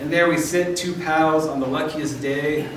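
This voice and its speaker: Amid noticeable background noise and audible room echo, a man with fairly high pitch talks at a moderate pace with fairly even intonation. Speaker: poet. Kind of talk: poetry reading. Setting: stage with audience.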